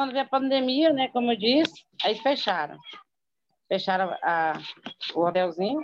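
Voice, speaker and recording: A woman speaks in a high pitch at a fairly slow pace, her voice swinging very widely in pitch while her loudness stays very even, with long, frequent pauses. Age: 40s. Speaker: former guesthouse owner and distributor. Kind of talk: testimony.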